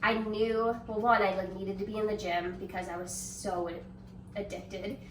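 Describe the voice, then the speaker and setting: The woman's pitch is medium. There is audible room echo and noticeable background noise. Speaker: bodybuilder. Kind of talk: testimony. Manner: fast.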